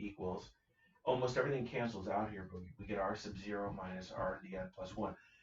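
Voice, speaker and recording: There is noticeable background noise. A man speaks with a fairly low pitch. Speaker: math teacher. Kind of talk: lecture. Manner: fast.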